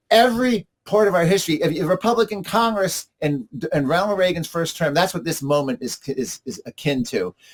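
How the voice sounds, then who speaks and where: A man with a high pitch talks fairly quickly with lively intonation, in a dry, close sound with no echo. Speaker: climate policy commentator. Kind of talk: interview. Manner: fast; animated.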